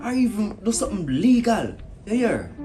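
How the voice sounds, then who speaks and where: A man is speaking. Music plays in the background. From Jamaica. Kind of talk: comedy sketch, phone call monologue. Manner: sarcastic.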